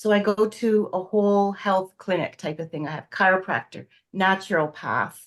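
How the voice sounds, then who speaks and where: In a Canadian accent, a woman talks at a fairly slow pace with ordinary pitch variation and a plain, everyday voice over a quiet background. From Canada. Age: 60s. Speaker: astrology student. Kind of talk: casual interview chat.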